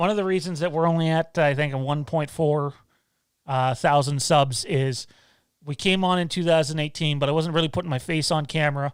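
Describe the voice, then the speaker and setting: A man speaks fairly quickly with a fairly high pitch and a strong Canadian accent. The recording is very clean, with a silent background. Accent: thick Canadian. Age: 30s. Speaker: YouTube channel host. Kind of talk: live stream Q&A. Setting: live stream. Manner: casual, hesitant with fillers.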